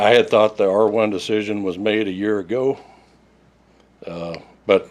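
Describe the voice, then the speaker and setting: With an Oklahoma accent, a man speaks at a fairly low pitch with ordinary pitch variation. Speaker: resident speaking at public comment. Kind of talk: public comment reading a prepared statement. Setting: city council meeting. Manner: fast.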